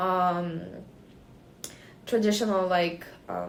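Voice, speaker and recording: A woman speaks in a medium pitch with a slight Ukrainian accent and monotone, flat intonation. Room echo is audible. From Ukraine. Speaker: student, interviewee. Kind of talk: interview. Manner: halting, many fillers.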